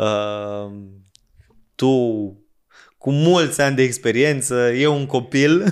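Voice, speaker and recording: On a very clean recording with a silent background, a man at medium pitch talks very slowly with ordinary pitch variation and long, frequent pauses. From Romanian provinces. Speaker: podcast host. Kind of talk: casual chat.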